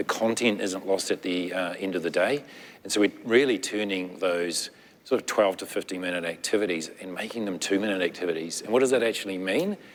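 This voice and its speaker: With a New Zealand accent, a man speaks at a fairly quick pace and a fairly low pitch. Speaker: nonprofit technology executive. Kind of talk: panel discussion.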